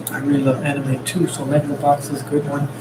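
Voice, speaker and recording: Against noticeable background noise, a man speaks at a fairly quick pace and a fairly high pitch. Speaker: artist streaming a sketch session. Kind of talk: live-stream drawing commentary. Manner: whispering, soft-spoken; hesitant, many fillers. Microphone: mic far away.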